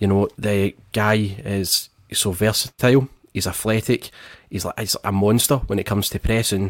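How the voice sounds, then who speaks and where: A man with a plain, everyday voice speaks at a moderate pace with a fairly low pitch and fairly even intonation, the sound dry and close with no echo. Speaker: football podcast host. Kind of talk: casual chat. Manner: joking, playful.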